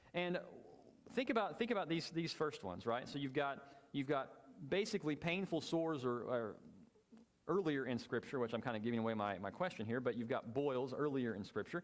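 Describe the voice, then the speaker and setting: Fairly high-pitched male voice with lively intonation at a fairly quick pace. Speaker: Bible class teacher. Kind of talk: Bible class lecture with discussion. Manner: fast.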